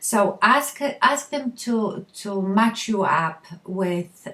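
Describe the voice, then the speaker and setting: In a Polish accent, a woman speaks with lively intonation. Her pitch is medium. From Poland. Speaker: beauty vlogger. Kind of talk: makeup tutorial talk to camera. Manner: casual, friendly.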